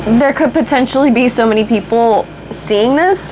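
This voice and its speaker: Against noticeable background noise, a woman speaks at a fairly high pitch and a fairly slow pace with ordinary pitch variation. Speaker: beauty vlogger. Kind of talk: casual chat. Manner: stuttering at times.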